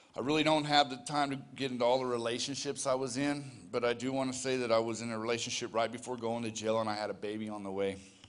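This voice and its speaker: A man with an American accent talks at a very fast pace and a medium pitch. Room echo can be heard. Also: fairly even intonation. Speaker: recovery ministry leader sharing testimony. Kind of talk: testimony. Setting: church.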